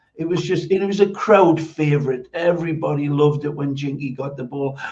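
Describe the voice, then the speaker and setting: This man talks with a Geordie accent at a fairly high pitch. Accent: Geordie, Newcastle. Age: 70s. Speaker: former footballer, football pundit. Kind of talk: podcast interview.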